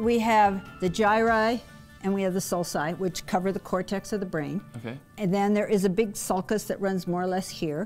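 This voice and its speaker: With faint music in the background, a woman talks at a moderate pace with ordinary pitch variation. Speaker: guest. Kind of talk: explanatory teaching talk. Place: classroom. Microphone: lapel.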